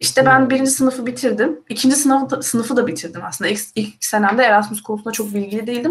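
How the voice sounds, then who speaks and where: Very fast and fairly high-pitched, a woman speaks with lively intonation. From Turkey. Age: 20s. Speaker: university student. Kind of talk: casual live-stream chat.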